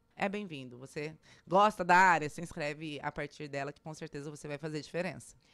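The speaker goes at a fairly quick pace with ordinary pitch variation and big swings in loudness over a quiet background. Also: woman, very deep, low pitch for a woman. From Brazil, Cuiabá, Mato Grosso; Mato Grosso, Brazil. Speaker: tech event organizer; interview guest. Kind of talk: radio interview. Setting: radio studio. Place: studio. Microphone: studio mic.

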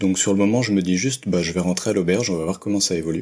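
Talking at a very fast pace, a man has a fairly low pitch. His pitch variation is ordinary. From Paris region, France. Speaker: working holiday traveler. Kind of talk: interview.

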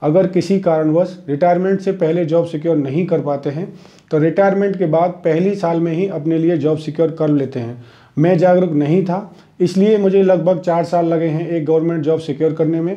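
In a quiet background, a man with a high pitch and a dark, mellow tone speaks at a moderate pace with fairly even intonation. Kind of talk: talk to camera, advice. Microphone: lapel.

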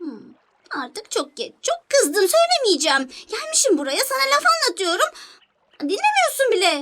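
A cartoonish character voice at an extremely high pitch swings very widely up and down while moving at a moderate pace. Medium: puppet. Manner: sulky, teasing.

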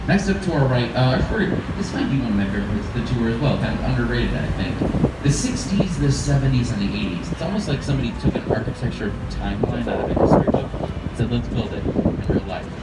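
Over loud background noise and audible room echo, a man talks at a very fast pace. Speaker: river tour guide. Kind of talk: tour guide commentary. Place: boat.

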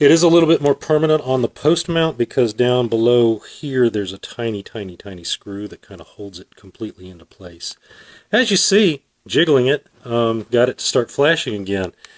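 The speech moves at a moderate pace over a quiet background, with big swings in loudness. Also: man. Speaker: product reviewer. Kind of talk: casual product review. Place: garage. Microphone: phone near.

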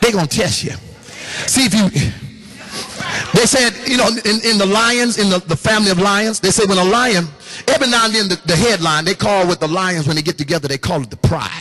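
At a fairly quick pace, a man speaks in a high, raised, projected voice with an animated tone and ordinary pitch variation. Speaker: pastor. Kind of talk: sermon. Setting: church with congregation. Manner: animated, call-and-response preaching with laughs and exhortation. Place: hall. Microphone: handheld.

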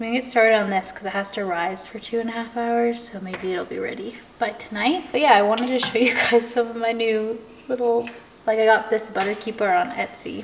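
Over light background noise, a woman talks at a fairly quick pace with fairly even intonation. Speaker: lifestyle vlogger. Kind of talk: casual vlog chat. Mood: cheerful, relaxed. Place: kitchen. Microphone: camera far.

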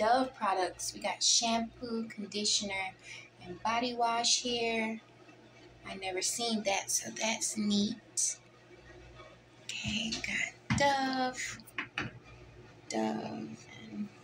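With music in the background, a woman talks at a very slow pace, leaving long, frequent pauses. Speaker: guest. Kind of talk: casual vlog tour narration. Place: bathroom. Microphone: phone near.

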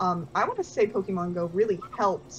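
Woman at a fairly quick pace with music in the background. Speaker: convention panelist. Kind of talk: live-streamed panel discussion. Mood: enthusiastic, nostalgic. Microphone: video call.

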